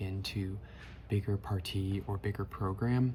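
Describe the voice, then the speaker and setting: A soft-spoken man talks at a fairly slow pace. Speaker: architecture student sharing design process. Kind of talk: casual tutorial.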